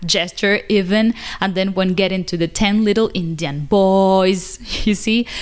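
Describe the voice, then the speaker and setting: A woman with a Spanish accent, medium in pitch, speaking at a fairly slow pace with fairly even intonation. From Cuba. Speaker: English teacher, video creator. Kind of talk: casual vlog talk to camera.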